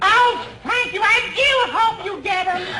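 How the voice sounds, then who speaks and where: Here is a put-on character voice at an extremely high pitch. It goes at a fairly slow pace, with light background noise. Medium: short film. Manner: fluttery, genteel.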